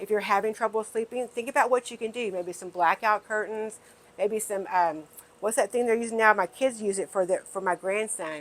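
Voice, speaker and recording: A woman with an American accent, an ordinary speaking voice, fairly high pitch, ordinary pitch variation and a fairly quick pace. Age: 60s. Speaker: wellness video host. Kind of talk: casual talk to camera.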